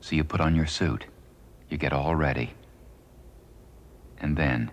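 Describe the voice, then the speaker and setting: A man speaks at a moderate pace in a very deep, low voice with vocal fry and very even loudness. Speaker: voiceover narrator. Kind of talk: documentary narration. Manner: natural, plain-spoken.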